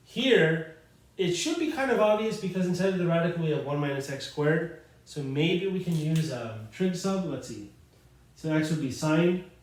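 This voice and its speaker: Audible room echo surrounds a man's high-pitched voice. His intonation is lively. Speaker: math teacher. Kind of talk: lecture. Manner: fast; casual, with fillers.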